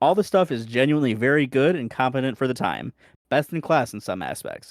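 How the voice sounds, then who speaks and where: Talking at a very fast pace, a man with a fairly high voice comes through on a very clean recording against a silent background. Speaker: retro gaming podcast co-host. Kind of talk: casual chat. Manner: sarcastic inflection.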